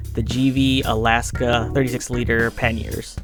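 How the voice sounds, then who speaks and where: A fairly slow pace over music in the background. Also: man. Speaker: motorcycle vlogger. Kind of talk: voice-over narration recorded during editing. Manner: hesitant, with fillers.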